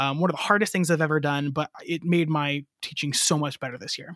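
A man's fairly high voice with a bright, sharp tone and fairly even intonation, in a dry, close recording with no echo. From US Midwest, northwest Ohio. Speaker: elementary music teacher. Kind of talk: casual interview.

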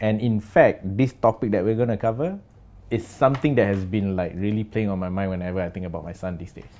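Very fast speech with a dark, mellow tone, big swings in loudness and ordinary pitch variation. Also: man, fairly low pitch for a man. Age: 40s. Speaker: creative director. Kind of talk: casual chat. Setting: studio with camera.

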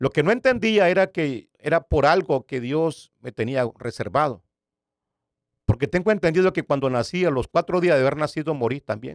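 An ordinary speaking voice, this man's is fairly high in pitch with lively intonation, a moderate pace and a dry, close sound with no echo. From Nicaragua. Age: 60s. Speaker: pastor. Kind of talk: testimony.

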